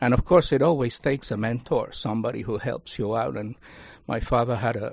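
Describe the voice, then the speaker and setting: A man with a Spanish accent at a fairly quick pace, over a quiet background. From Cuba. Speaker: university lecturer and Rotary leader. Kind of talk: radio interview. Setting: studio.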